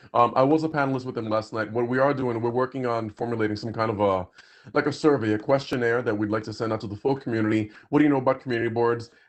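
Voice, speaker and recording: Speaking at a very fast pace, a man keeps a medium pitch and fairly even intonation. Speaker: community board member. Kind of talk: public meeting.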